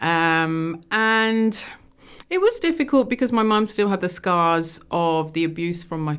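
In a very clean recording with a silent background, a woman with an English accent speaks fairly slowly in a fairly low pitch, her intonation lively. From England. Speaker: entrepreneur. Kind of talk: interview.

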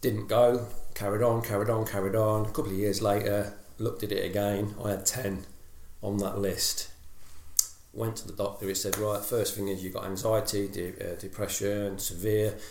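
A man with an East of England accent, fairly low in pitch, at a moderate pace with a monotone, flat intonation. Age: 40s. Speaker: menswear influencer, former builder. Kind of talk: interview. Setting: at his home.

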